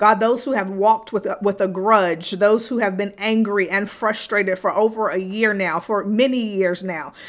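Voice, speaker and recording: A woman with an unremarkable speaking voice talks at a moderate pace, her medium pitch following a fairly even intonation. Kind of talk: fervent prayer spoken over listeners. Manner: earnest, fervent, pleading; repetitive, rhythmic, with pauses and fillers.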